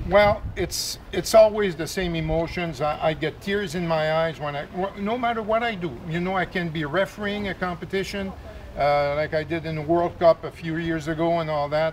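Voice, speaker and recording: High in pitch with ordinary pitch variation, a man talks with hardly any pauses. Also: moderate pace. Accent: Quebec. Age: 60s. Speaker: swim coach and event volunteer. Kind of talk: interview.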